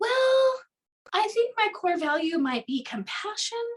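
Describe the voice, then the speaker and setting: In a squeaky, put-on character voice, a woman talks fairly slowly at an extremely high pitch with very wide pitch swings. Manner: uncertain, questioning upward intonation.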